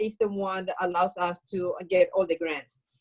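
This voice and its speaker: A woman with a Venezuelan accent at a medium pitch and moderate pace, in a dry, close sound with no echo. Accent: Venezuelan Spanish accent, noticeable. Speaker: bakery owner, social entrepreneur. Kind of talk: interview.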